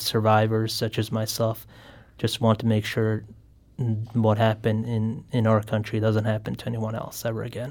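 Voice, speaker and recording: A man speaks with a Bosnian accent at a moderate pace. His tone is dark and mellow, his intonation monotone and flat. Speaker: genocide survivor and student. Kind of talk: radio interview. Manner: halting.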